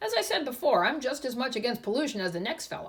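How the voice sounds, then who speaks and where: In a put-on character voice, a woman speaks very fast in a raised, projected voice with a high pitch. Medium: read story. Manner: gruff, grumbling.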